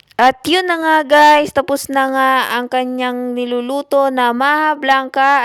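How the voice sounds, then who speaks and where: This woman speaks at a very slow pace. Her intonation stays fairly even. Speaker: vlogger. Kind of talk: vlog voice-over narration. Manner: casual, repetitive filler-heavy.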